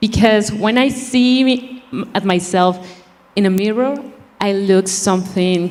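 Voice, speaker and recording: A woman with a Spanish accent at a medium pitch, fairly slow in pace, with ordinary pitch variation and noticeable background noise. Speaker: beauty pageant contestant. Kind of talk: prepared speech.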